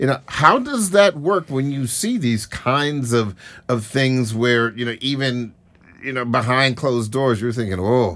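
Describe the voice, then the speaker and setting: Fairly slow in pace, a man talks at a medium pitch in a normal speaking voice. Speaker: radio host. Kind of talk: radio discussion. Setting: studio.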